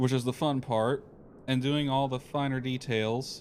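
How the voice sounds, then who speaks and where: A man's voice with a fairly high pitch. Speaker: flight sim streamer. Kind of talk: casual live stream commentary.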